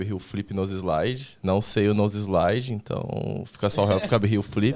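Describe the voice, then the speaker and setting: Very clean and set against a silent background, the recording features a man with an ordinary speaking voice, a fairly low pitch and fairly even intonation, talking at a moderate pace. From Brazil, São Paulo. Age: 20s. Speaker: skateboarder, association member. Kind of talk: casual podcast interview.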